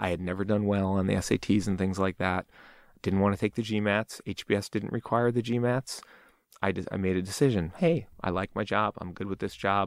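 A man with an American accent and an ordinary speaking voice, fairly low in pitch, at a fairly quick pace with fairly even intonation, in a dry, close, echo-free, very clean recording with a silent background. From northern New Jersey (Fair Lawn, NYC suburb). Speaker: tech startup CEO. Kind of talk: casual interview.

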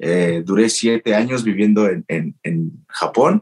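A man speaks very slowly at a medium pitch, with lively intonation. The sound is dry and close, with no echo. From Mexico. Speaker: professional wrestler. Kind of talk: interview.

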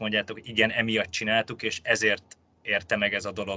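A man talks at medium pitch. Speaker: podcast host, real estate journalist. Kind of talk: interview.

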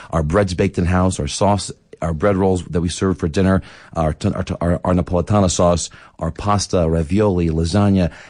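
This voice comes with a Philadelphia accent. The background is quiet. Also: man, very deep, low pitch for a man. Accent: Philadelphia American English. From US Northeast, Philadelphia. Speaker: restaurant owner. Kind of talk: radio interview. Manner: halting, with frequent repetitions.

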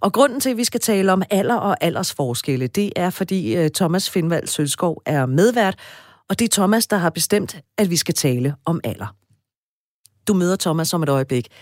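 A woman's fairly low-pitched voice with very wide pitch swings, on a very clean recording with a silent background. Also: fairly slow pace, dry, close sound with no echo. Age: 40s. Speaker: radio host. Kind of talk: casual chat. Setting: studio.

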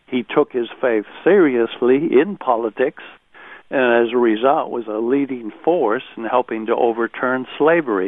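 With a plain, everyday voice, a man speaks at a fairly slow pace in a medium pitch that shows ordinary variation. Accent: American. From United States. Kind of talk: radio interview.

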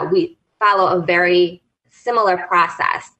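Speaking fairly slowly, a woman uses a normal speaking voice at a medium pitch with fairly even intonation. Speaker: executive life coach. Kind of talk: radio interview.

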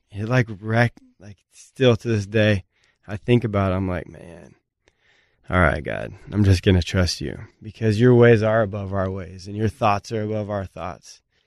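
A man with an American accent speaks at a moderate pace and a fairly low pitch, with ordinary pitch variation and big swings in loudness. The sound is dry and close with no echo, over a quiet background. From US Pacific Northwest, small town Washington. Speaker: former pro basketball player. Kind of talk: interview testimony.

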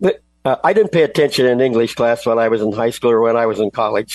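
At a very fast pace, a man talks with medium pitch and ordinary pitch variation. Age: 80s+. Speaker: author and cooking show host. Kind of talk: interview. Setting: video call. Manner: energetic.

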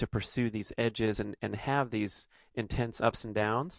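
With vocal fry and fairly even intonation, a man talks at medium pitch and a moderate pace, the sound dry and close with no echo against a quiet background. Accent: Californian. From Los Angeles, US. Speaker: podcast host, author and athlete. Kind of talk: casual chat.

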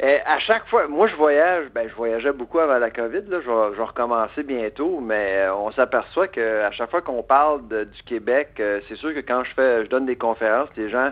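With a Quebec accent, the speaker moves at a fairly quick pace with lively intonation and few pauses. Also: man, medium pitch for a man.

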